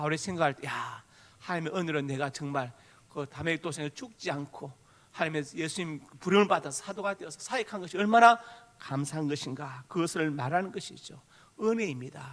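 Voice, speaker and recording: A man's fairly high voice in a strong Gyeongsang accent, at a fairly quick pace with ordinary pitch variation. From Gyeongsang Province, South Korea. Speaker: pastor. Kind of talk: sermon. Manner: forceful intonation that can sound angry.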